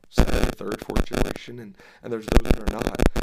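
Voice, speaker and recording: A very clean recording of a man, with an American accent, against a silent background. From Dallas, Texas. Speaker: evangelist preacher. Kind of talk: casual interview about ministry, preachy at times.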